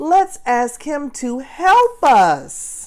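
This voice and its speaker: A woman puts on a character voice, high-pitched with very wide pitch swings. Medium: read story.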